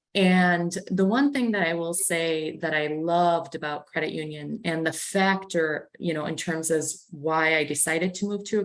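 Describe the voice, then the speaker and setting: Her fairly low pitch carries ordinary pitch variation as the woman talks at a moderate pace. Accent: slight Canadian. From Canada. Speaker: credit union executive. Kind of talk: panel discussion.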